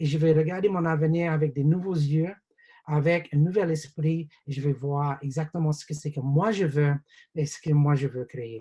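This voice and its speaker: This man's voice is fairly high, with a dark, mellow tone and a somewhat breathy quality. He talks at a fairly slow pace with fairly even intonation. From New Zealand. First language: English (speaking French). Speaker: business opportunity presenter. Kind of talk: webinar sales pitch. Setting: video call webinar. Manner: hesitant, many fillers.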